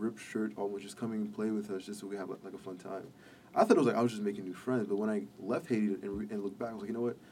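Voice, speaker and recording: A man with a fairly low pitch talks at a very fast pace with fairly even intonation. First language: Haitian Creole / French. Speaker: recent college graduate, policy intern. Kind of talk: casual interview.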